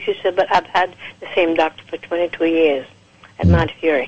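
Noticeable background noise runs beneath a female speaker going at a fairly quick pace. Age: 70s. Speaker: caller giving product testimonial. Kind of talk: testimony. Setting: phone call.

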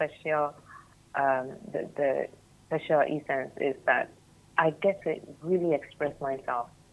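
In a Ghanaian accent, a woman speaks with a very deep, low pitch. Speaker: youth development trainer. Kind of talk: radio interview discussion. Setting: radio studio.

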